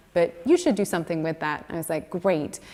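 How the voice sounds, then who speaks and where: A woman's fairly low voice with a British accent, at a very fast pace. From Scotland. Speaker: museum curator. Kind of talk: panel talk.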